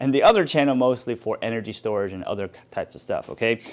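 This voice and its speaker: On a very clean recording with a silent background, the man speaks very quickly. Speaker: DIY tool YouTuber. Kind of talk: tool review talk to camera. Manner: fast; casual, halting with fillers.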